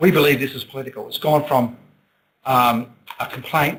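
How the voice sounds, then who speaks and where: With an Australian accent, a man talks at a fairly quick pace and ordinary pitch variation. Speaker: city councillor. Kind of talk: council meeting statement. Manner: loud; halting.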